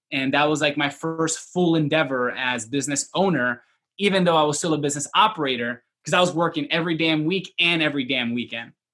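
Bright, sharp tone with an American accent, very fast pace, hardly any pauses and ordinary pitch variation. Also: man, fairly high pitch for a man. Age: 20s. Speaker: entrepreneur. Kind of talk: interview.

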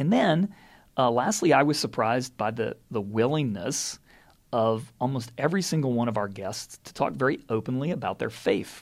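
A plain, everyday voice from a man at medium pitch, lively in intonation, on a very clean recording with a silent background. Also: moderate pace. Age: 50s. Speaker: head of school. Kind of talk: solo podcast reflection. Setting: office.

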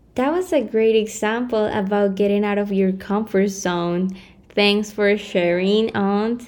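Delivery is fairly slow, with very even loudness and fairly even intonation. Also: woman, medium pitch for a woman. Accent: Spanish. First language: Spanish. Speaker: podcast host. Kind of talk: casual chat. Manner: slightly hesitant at first, then more confident.

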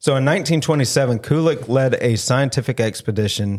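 Heard in a very clean recording with a silent background, a man with a Southern US accent speaks at medium pitch and a moderate pace with ordinary pitch variation. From US South. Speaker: paranormal podcast host. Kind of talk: casual chat; reading research aloud in casual podcast.

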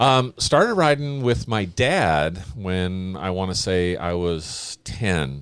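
Speaking very slowly with hardly any pauses, a man with a General American accent has a very deep, low pitch and very wide pitch swings. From California. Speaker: amateur dirt bike racer. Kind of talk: casual chat.

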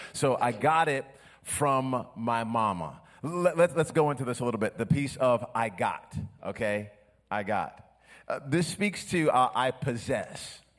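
Speaking at a fairly slow pace, a man with an ordinary speaking voice uses lively intonation at a medium pitch. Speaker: pastor. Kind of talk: sermon. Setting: church.

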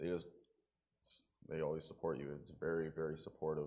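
A very deep, low-pitched man in a Western Canadian accent at a fairly quick pace. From rural Alberta, Canada. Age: 20s. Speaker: recovery program student. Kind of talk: testimony interview. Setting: church service.

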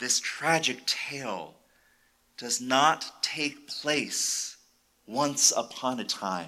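A man's very slow speech with vocal fry, a bright, sharp tone, and lively intonation. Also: medium pitch for a man. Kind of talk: dramatic sermon narration, retelling a violent biblical story. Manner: hushed, deliberate, grave storytelling with suspenseful pauses; solemn, vividly expressive, building tension.

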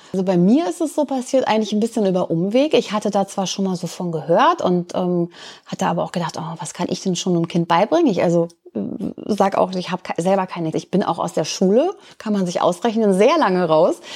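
A normal speaking voice from a woman, medium in pitch, fairly quick, with ordinary pitch variation. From Lower Saxony, Germany. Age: 50s. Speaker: volunteer tutor. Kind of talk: interview.

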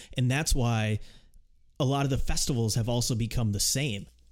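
The man speaks at a moderate pace. Audible room echo colors the recording. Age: 20s. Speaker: music podcast host. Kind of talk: casual chat.

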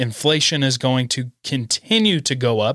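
A man speaks in an animated way with an American accent, at a medium pitch, his tone bright and sharp. The recording is very clean with a silent background and a dry, close sound with no echo. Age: 20s. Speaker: podcast host. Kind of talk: casual solo commentary.

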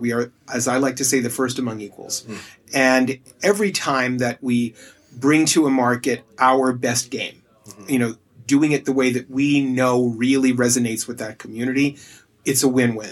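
In a plain, everyday voice, a man talks at a moderate pace. His medium pitch keeps a fairly even intonation. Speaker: tile company brand representative. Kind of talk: casual interview. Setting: live event in a showroom, party.

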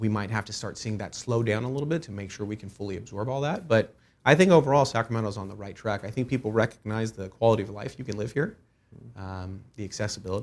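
A very fast pace with big swings in loudness, in a very clean recording with a silent background. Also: man, fairly low pitch for a man, ordinary pitch variation. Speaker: commercial real estate broker. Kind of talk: interview.

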